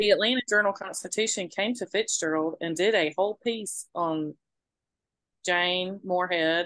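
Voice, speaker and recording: A woman with an American accent speaks at a medium pitch with ordinary pitch variation. The background is quiet, and the sound is dry and close with no echo. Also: moderate pace. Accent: Southern, more pronounced on the podcast. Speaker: podcast co-host. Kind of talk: casual chat. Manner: animated.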